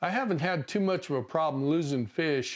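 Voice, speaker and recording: A man with an unremarkable speaking voice, fairly high in pitch, with ordinary pitch variation, a moderate pace and a quiet background. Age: 60s. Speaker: fishing channel host. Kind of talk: tutorial. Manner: casual.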